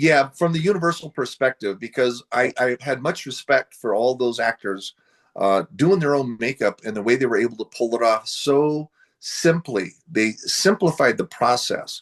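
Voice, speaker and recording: The sound is dry and close with no echo as a medium-pitched man with an American accent talks with lively intonation. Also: moderate pace. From US Pacific Northwest, Seattle area. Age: 60s. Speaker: horror film actor. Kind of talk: interview. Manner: casual, hesitant with many fillers.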